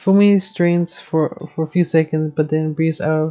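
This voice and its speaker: A woman's very deep, low voice at a fairly slow pace, with music in the background. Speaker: gamer streamer. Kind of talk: casual gameplay commentary.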